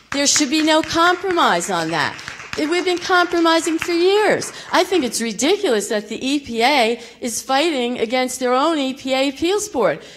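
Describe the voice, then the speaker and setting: Over noticeable background noise, a high-pitched woman talks at a moderate pace with very wide pitch swings and hardly any pauses. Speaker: local resident. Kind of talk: public comment. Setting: public meeting in school theater. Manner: emotional, shaky.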